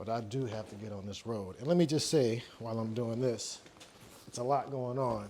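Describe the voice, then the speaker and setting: Ordinary pitch variation sits within a dark, mellow tone. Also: man. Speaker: engineer and spiritual vlogger. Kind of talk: casual monologue vlog. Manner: rushed, stuttering.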